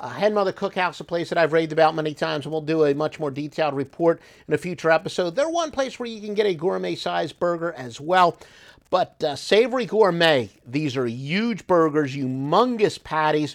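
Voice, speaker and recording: A man with an American accent and a normal speaking voice talks at a fairly quick pace with fairly high pitch and lively intonation, on a very clean recording with a silent background. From South Jersey, US. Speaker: podcast host, restaurant reviewer. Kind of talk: casual solo review monologue.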